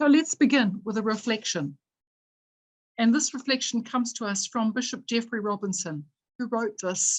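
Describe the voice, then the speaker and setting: A somewhat breathy woman with a New Zealand accent speaks at a moderate pace, with a fairly high pitch and lively intonation. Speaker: event moderator. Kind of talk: reading aloud; formal introduction. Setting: video call.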